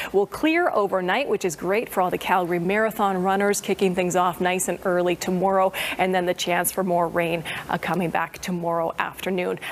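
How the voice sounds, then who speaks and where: Over light background noise, a woman speaks at a fairly quick pace in an upbeat tone. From Canada. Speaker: TV weather presenter. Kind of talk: TV weather forecast. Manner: upbeat, friendly. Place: studio.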